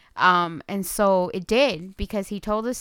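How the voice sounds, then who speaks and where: This woman has a normal speaking voice at a medium pitch, moving at a moderate pace with fairly even intonation. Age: 30s. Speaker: podcast co-host. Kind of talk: casual chat about films.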